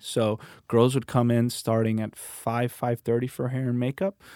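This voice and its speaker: Recorded very cleanly with a silent background and a dry, close sound with no echo, the voice moves at a fairly slow pace. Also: man. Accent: American. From Miami, Florida (Cuban American). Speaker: actor. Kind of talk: casual interview chat. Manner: animated.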